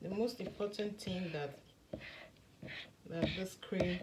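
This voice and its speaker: A woman at medium pitch, fairly slow pace, with noticeable background noise. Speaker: skincare maker and vlogger. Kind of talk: tutorial. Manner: soft-spoken. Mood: enthusiastic. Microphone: phone near.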